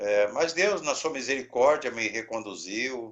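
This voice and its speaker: A man at a very slow pace. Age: 60s. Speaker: pastor, head of a mission organization. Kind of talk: interview.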